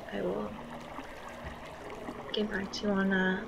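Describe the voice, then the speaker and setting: With noticeable background noise behind her, a woman speaks at a moderate pace and medium pitch in a monotone, flat intonation. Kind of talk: casual narrated walkthrough.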